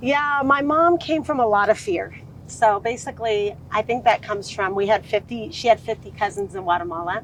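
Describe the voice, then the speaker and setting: Over noticeable background noise, a woman with an American accent and a fairly high pitch talks at a moderate pace with lively intonation. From Southern California (Orange County). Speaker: sales consultant. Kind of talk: podcast interview. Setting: outdoors by a lake.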